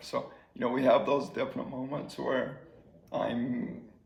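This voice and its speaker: This recording carries noticeable background noise. The speaker is a man. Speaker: former teacher and coach living with ALS. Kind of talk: interview answer.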